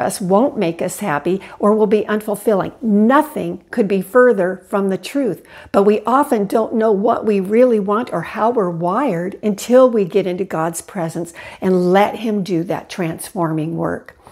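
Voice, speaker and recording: A woman talks at a moderate pace and medium pitch. Her pitch varies in an ordinary way. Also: quiet background. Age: 60s. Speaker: Bible teacher vlogger. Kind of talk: devotional Bible study talk. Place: home room. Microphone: lapel.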